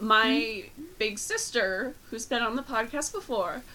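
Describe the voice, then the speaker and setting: Noticeable background noise surrounds fairly slow speech whose pitch varies in an ordinary way. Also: woman. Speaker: podcast host. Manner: slow talker; reads slowly.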